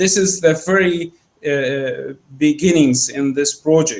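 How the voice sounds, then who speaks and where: Very slow speech from a man with an Arabic accent, fairly high in pitch, with ordinary pitch variation. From Egypt. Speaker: academic researcher. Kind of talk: Q&A discussion after lecture. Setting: seminar room, live-streamed. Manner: halting, many fillers.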